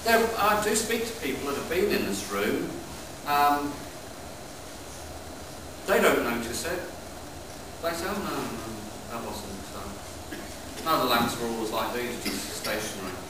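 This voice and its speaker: A man at a fairly slow pace, with long, frequent pauses, noticeable background noise and audible room echo. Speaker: heritage site custodian guide. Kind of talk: guided tour explanation. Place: tunnel cave. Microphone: camera far.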